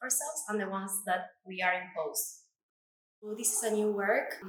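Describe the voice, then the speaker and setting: With an Argentine accent, a woman talks at a moderate pace and a medium pitch, with ordinary pitch variation. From Argentina. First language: Spanish. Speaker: artist. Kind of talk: artist talk about own exhibition.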